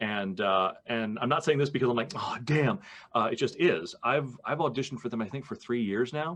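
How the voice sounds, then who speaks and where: Against a quiet background, a man with an unremarkable speaking voice and medium pitch talks at a moderate pace with lively intonation. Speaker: voice actor. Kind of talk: podcast interview conversation.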